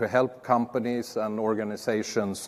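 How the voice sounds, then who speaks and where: A man speaks with a Swedish accent. His pitch is medium and his pace moderate. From Sweden. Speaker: security strategist, conference speaker. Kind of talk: conference talk.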